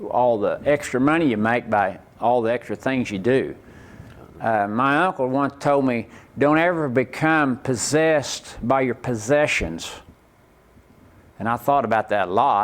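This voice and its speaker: A man speaks with an Oklahoma accent. His pace is fairly slow. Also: medium pitch for a man, ordinary pitch variation. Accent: Oklahoma rural Southern US. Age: 60s. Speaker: rodeo performer. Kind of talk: interview.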